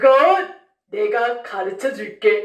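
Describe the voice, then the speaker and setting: A woman is heard with audible room echo against a quiet background. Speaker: children's storyteller teacher. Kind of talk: children's finger play and puppet storytelling. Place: studio.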